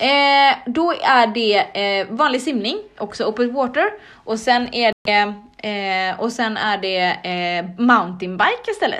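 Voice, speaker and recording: A woman's fairly high voice, very slow in pace, with lively intonation. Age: 30s. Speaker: podcast host, triathlete. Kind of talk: casual chat.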